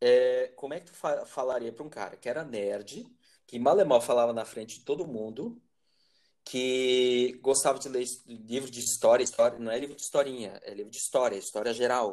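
A man speaks at medium pitch and a moderate pace, with ordinary pitch variation. His loudness swings in big ways. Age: 40s. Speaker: teacher and podcast host. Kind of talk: casual conversation. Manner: halting.

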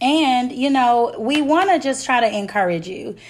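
A woman's speech moves at a moderate pace, her intonation lively. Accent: Memphis. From Memphis, Tennessee (US South). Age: young. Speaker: podcast co-host, entrepreneur. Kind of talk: casual chat.

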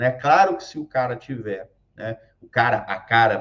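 A man's somewhat breathy voice moves at a fairly slow pace, with ordinary pitch variation. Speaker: occupational safety YouTuber. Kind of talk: casual talk to camera. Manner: halting, many fillers.

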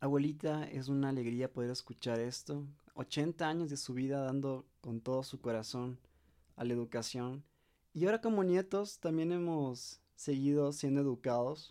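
The speaker is a man going at a moderate pace. His fairly high pitch varies in an ordinary way, and his tone is dark and mellow. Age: young. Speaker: family podcast host. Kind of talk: interview.

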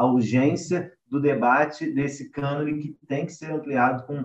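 Speaking at a fairly slow pace, a man with an unremarkable speaking voice uses ordinary pitch variation at a fairly high pitch. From Rio de Janeiro. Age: 20s. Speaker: literature researcher. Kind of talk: panel discussion. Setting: remote recording.

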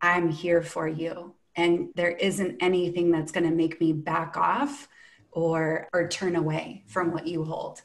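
A woman's unremarkable speaking voice, fairly low and fairly slow, with ordinary pitch variation. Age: 40s. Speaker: breathwork facilitator. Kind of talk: casual chat.

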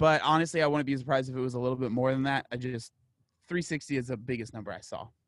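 Very fast speech from a man, medium in pitch, its pitch varying in an ordinary way. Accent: American. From San Diego, California (East County). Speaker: podcaster and fitness YouTuber. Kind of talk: casual interview.

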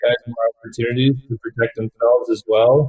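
This man's voice is medium in pitch and somewhat breathy, with monotone, flat intonation. He talks at a fairly slow pace, and the sound is dry and close with no echo. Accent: Canadian. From Canada. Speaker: professional hockey player. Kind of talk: interview.

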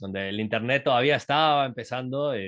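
At a fairly quick pace and with ordinary pitch variation, this man uses an ordinary speaking voice. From Uruguay, raised in Latin America. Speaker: entrepreneur and startup mentor. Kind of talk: casual interview.

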